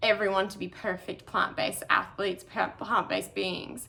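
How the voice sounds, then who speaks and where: Bright and sharp in tone, a woman speaks with an Australian accent. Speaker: ultramarathon runner. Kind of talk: prepared talk.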